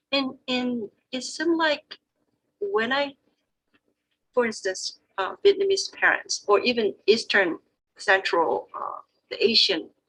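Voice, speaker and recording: A woman's bright, sharp, high-pitched voice in a Korean accent, fairly slow, with very wide pitch swings and a dry, close sound with no echo. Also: long, frequent pauses. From South Korea. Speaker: Korean interpreter. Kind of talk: panel discussion.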